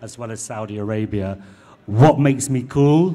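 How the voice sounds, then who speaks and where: The tone is dark and mellow, with a Mancunian accent. Delivery comes at a fairly quick pace. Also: man. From northern England, Manchester. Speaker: magazine editor. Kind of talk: panel discussion.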